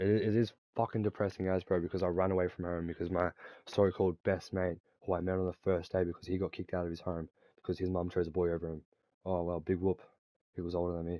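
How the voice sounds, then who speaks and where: With an Australian accent, a man talks at a very fast pace in an animated tone with a very deep, low pitch. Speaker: gaming streamer. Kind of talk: casual chat.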